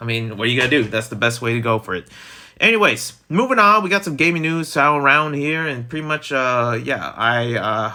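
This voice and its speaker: Lively intonation marks the speech of a man with an American accent. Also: medium pitch for a man, fairly quick pace. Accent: Italian American. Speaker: gaming news streamer. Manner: casual, rambling.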